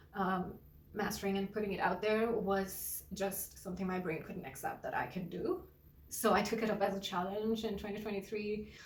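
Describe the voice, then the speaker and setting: A woman with a Gujarati accent talks at a moderate pace in a medium pitch with fairly even intonation. Audible room echo and noticeable background noise fill the recording. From India. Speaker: singer-songwriter and artist. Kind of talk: personal introduction vlog. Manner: halting, repeats words.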